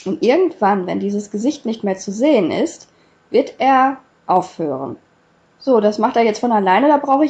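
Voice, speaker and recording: A woman speaks slowly, fairly so, with a fairly high pitch and a somewhat breathy quality. Her intonation is lively. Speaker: YouTuber. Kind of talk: tutorial. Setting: screen recording voiceover.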